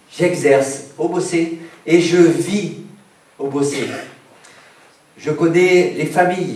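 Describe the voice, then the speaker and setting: Audible room echo and noticeable background noise around a man with a high pitch, at a very slow pace with ordinary pitch variation. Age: 60s. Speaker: doctor and mayoral candidate. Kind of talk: campaign speech.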